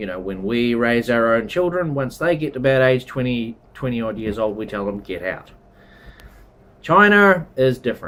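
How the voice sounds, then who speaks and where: With a New Zealand accent, a man speaks at medium pitch and a moderate pace, his intonation lively. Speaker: travel and culture vlogger. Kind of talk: casual explainer monologue. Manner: conversational, with fillers.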